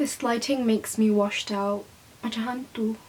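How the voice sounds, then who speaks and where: With a British accent, a woman with a fairly high voice speaks at a fairly slow pace in flat, monotone intonation. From Malaysia. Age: young. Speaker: YouTuber. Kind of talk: casual talk to camera.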